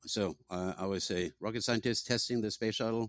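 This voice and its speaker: A man with a Norwegian accent speaks at a moderate pace with fairly even intonation. The recording is very clean, with a silent background and a dry, close sound with no echo. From Norway. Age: old. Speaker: tech company founder. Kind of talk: interview.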